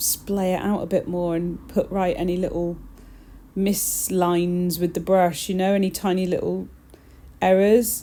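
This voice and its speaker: A woman with an English accent, a dark, mellow tone and a moderate pace. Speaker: nail technician. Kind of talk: tutorial. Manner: subdued, flat.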